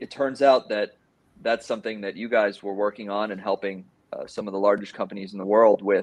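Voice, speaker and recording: In an American accent, a man with an unremarkable speaking voice talks at a fairly quick pace. His pitch is fairly low and his intonation fairly even. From Miami, Florida. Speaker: AI division director. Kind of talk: panel discussion.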